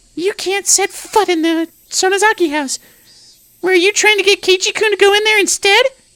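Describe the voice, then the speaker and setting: A put-on character voice with an extremely high pitch speaks at a moderate pace. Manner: spiteful.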